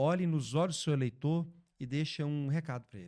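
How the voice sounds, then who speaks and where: Ordinary pitch variation and a moderate pace in a man's fairly high-pitched speech. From Brazil, Belo Horizonte (Minas Gerais). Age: 30s. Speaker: podcast host. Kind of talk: interview.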